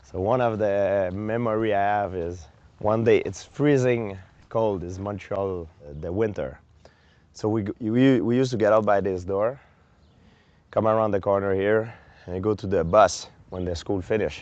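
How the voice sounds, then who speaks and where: A man speaks at a fairly low pitch with a strong French Canadian accent. His intonation stays fairly even, broken by long, frequent pauses. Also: moderate pace. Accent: thick French Canadian. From Quebec, Canada. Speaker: mixed martial arts fighter. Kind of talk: documentary interview answer.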